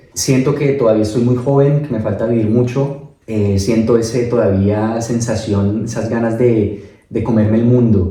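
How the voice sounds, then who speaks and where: With hardly any pauses, the speaker talks at a fairly slow pace in a somewhat breathy, dark, mellow tone, intonation fairly even, amid audible room echo. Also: man, medium pitch for a man. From Colombia, Bogotá. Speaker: migrant interviewee. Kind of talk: casual interview.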